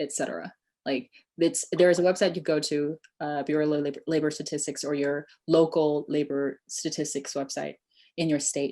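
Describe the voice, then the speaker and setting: At a moderate pace, a woman speaks in a monotone, flat way with a dark, mellow tone and a very deep, low pitch. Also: quiet background. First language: Chinese. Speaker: immigration tech startup founder. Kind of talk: webinar Q&A.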